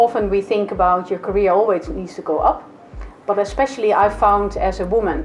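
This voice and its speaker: Music plays in the background as a woman talks at a fairly quick pace. She has a Dutch accent and fairly even intonation. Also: medium pitch for a woman. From Netherlands. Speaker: HR executive. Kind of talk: interview.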